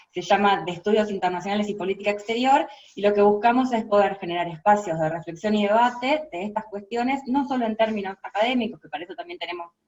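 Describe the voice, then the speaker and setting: Speaking very fast with lively intonation, a woman uses a medium pitch and talks with a Rioplatense accent. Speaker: international relations lecturer and researcher. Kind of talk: interview. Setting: video call.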